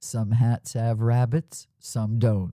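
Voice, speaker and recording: A booming, put-on character voice from a man at a medium pitch. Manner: sage, aphoristic.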